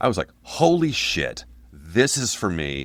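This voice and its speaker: On a very clean recording with a silent background, a man with vocal fry speaks at a fairly slow pace, his pitch swinging very widely. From Portland, Oregon. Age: 60s. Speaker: punk band singer. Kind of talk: casual interview.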